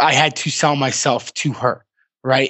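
A moderately paced, normal speaking voice with an American accent. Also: man. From Massachusetts. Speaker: entrepreneur and author. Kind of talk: interview.

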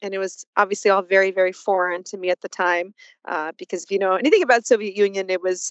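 With a Russian accent, a woman at medium pitch talks at a very fast pace. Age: 40s. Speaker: PR agency CEO and author. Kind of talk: casual interview chat.

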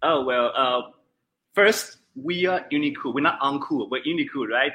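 A man with a Chinese accent at a moderate pace. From central China. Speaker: gaming company account manager. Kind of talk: interview. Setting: video call. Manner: halting.

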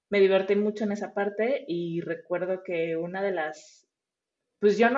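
A woman talks at a moderate pace and medium pitch. Hers is a plain, everyday voice. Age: 30s. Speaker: front-end web developer. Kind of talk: interview.

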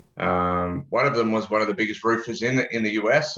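With an Australian accent, a man speaks at medium pitch in a bright, sharp tone. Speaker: podcast guest, advertising consultant. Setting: remote call.

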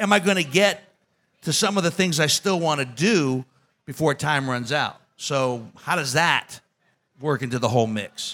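With a bright, sharp tone, a man talks at a moderate pace, his pitch fairly high and ordinary in its variation.

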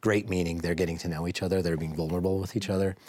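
Speaking with an American accent, a man uses a very deep, low pitch and fairly even intonation. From Idaho, US (Boise). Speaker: business executive. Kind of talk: interview. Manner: hesitant, with many fillers.

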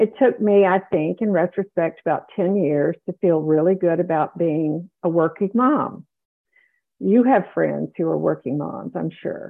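Here is a woman with a plain, everyday voice and an American accent. Her fairly low pitch shows ordinary pitch variation at a fairly slow pace. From US South. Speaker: retired neonatologist and author. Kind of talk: interview conversation.

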